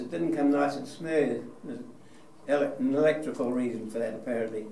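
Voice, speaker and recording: Over noticeable background noise and audible room echo, a man with a New Zealand accent speaks in a fairly high voice. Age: 90s. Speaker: war veteran. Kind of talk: talk to an audience. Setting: museum hall with audience. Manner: halting.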